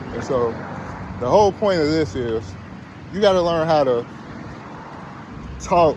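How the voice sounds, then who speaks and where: With lively intonation, a man talks at a moderate pace while noticeable background noise is heard. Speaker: video blogger. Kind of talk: casual monologue.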